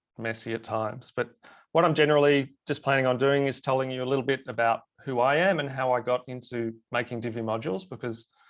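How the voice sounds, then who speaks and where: Over a quiet background, a man with an Australian accent talks at a fairly quick pace, medium pitch and fairly even intonation. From Australia, Melbourne. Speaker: web designer and plugin developer. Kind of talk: webinar presentation. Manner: halting.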